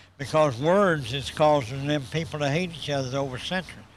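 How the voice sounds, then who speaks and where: With a Southern US accent, a man speaks amid audible room echo. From US South, South Carolina. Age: 60s. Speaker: motivational businessman. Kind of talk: interview. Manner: animated.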